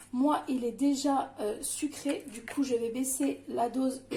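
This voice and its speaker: A woman's high voice stays on a fairly level tone as she talks. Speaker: home cooking channel host. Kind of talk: cooking tutorial. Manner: hesitant, many filler sounds.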